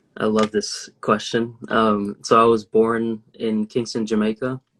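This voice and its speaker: A man's fairly low-pitched voice with an American accent, monotone with flat intonation, with a dry, close sound and no echo. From US South, Alabama. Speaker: medical student. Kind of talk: interview. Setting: video call. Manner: hesitant, many fillers.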